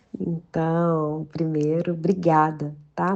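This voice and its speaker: A woman speaks in a mineiro accent with a warm tone. Her pitch is fairly low. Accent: mineiro accent, preserved. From Minas Gerais, Brazil. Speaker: journalist and children's author. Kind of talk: podcast interview. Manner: warm, filler-heavy conversational.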